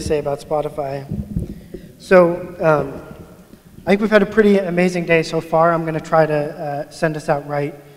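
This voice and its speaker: This man's voice sits fairly high for a man, at a moderate pace. Background noise is noticeable. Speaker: agile coach. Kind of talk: conference talk. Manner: mumbling.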